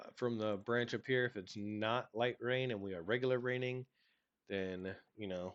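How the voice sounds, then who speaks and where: A man talks at a moderate pace in an unremarkable speaking voice. His pitch sits in the medium range and his intonation stays fairly even. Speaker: game development tutorial creator. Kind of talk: tutorial. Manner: casual.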